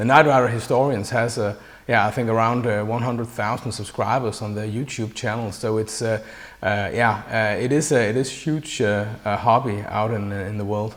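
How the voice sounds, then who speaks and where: In a Danish accent, a man speaks at a moderate pace with a medium pitch and fairly even intonation. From Denmark. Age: 40s. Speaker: interviewer, fan. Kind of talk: interview. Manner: halting, many fillers.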